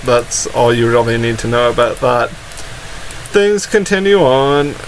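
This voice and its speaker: Noticeable background noise sits behind a man talking. He speaks at a fairly slow pace with ordinary pitch variation. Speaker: anime reviewer and YouTuber. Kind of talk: casual episode review talk to camera.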